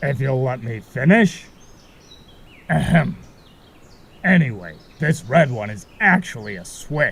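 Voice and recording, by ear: In a cartoonish character voice, a man speaks slowly with long, frequent pauses, lively intonation, vocal fry, a fairly bright tone and a slightly husky edge. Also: medium pitch for a man.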